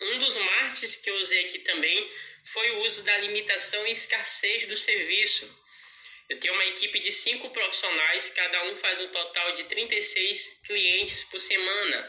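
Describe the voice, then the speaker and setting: There is noticeable background noise as a man speaks at a fairly slow pace. His voice is high-pitched, with fairly even intonation. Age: 20s. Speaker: home pet grooming entrepreneur. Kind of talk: pre-recorded audio contribution. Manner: articulate.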